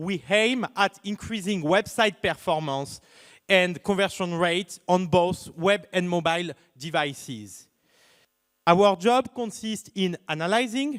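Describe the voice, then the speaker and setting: In a very clean recording with a silent background and a dry, close sound with no echo, a man with a French accent speaks fairly slowly in a high pitch with lively intonation. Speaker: startup founder. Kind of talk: pitch presentation.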